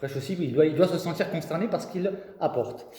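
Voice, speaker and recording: Audible room echo carries a man's voice, which has an animated tone. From southern France, Marseille. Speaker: preacher. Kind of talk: sermon.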